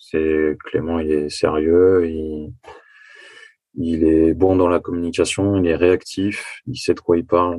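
A man speaks at a very slow pace with a very deep, low pitch. His intonation stays fairly even. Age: 20s. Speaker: construction site manager, coaching client. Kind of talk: testimony interview.

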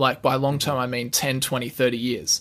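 Talking at a fairly quick pace, a man comes through. He has an Australian accent. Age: 20s. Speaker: finance YouTuber. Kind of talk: casual interview.

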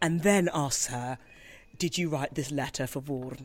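A woman speaks with a passionate tone at a very deep, low pitch. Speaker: opera singer. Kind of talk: interview. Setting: theatre foyer. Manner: clear, passionate.

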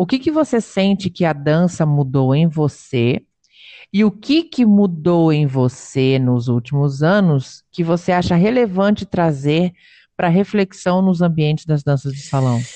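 A woman talks at a fairly slow pace in a fairly low voice with a dark, mellow tone and lively intonation. The sound is dry and close with no echo, over a quiet background. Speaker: podcast host, dance teacher. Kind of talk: casual interview.

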